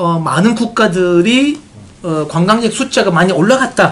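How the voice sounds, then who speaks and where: Someone speaks with a Turkish accent over noticeable background noise. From Turkey. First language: Turkish (speaking Korean). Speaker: tourism marketing expert, honorary official. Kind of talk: press briefing talk. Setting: meeting with reporters. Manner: hesitant, many fillers.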